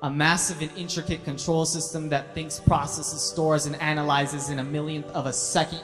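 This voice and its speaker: Music plays behind a man who speaks at a fairly quick pace. His fairly high voice has ordinary pitch variation. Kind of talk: spoken word poetry performance, religious reminder.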